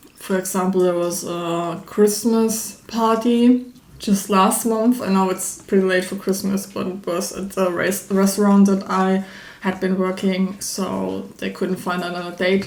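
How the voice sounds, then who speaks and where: The intonation is monotone and flat. Audible room echo surrounds the voice. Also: woman, medium pitch for a woman, fairly slow pace. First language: not English. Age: 20s. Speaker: YouTuber. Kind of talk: personal vlog monologue. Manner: hesitant, many fillers; spontaneous, unscripted.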